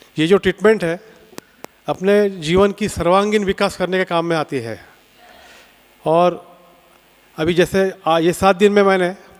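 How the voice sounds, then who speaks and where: Noticeable background noise sits under a man's high-pitched voice, its intonation fairly even. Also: long, frequent pauses. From Nagpur, Maharashtra, India. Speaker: camp participant. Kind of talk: testimonial.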